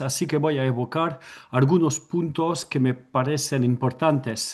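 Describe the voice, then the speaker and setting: A man with a non-native accent talks at a fairly slow pace and a fairly high pitch, somewhat breathy, with ordinary pitch variation over a quiet background. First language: French (speaking Spanish). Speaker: anthropology researcher. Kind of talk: academic presentation, partly read from notes. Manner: reading from notes.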